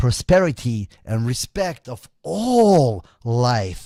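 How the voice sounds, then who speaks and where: Speaking in a dark, mellow tone, the man has a non-native accent. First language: not English. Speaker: occult commentator. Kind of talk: monologue.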